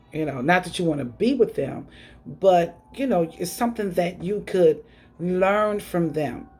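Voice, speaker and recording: Music plays in the background as a woman talks in an American accent. Her pitch is fairly low, her pace fairly slow and her intonation lively. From US Northeast, Buffalo, New York. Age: 50s. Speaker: online radio host and author. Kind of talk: motivational monologue.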